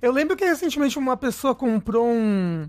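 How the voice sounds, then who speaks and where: A man speaks at an extremely high pitch. His voice moves in very wide pitch swings. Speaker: podcast host. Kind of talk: casual chat.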